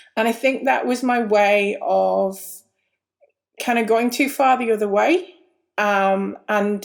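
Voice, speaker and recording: A British accent with ordinary pitch variation on a very clean recording with a silent background. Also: woman. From UK. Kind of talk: personal testimony.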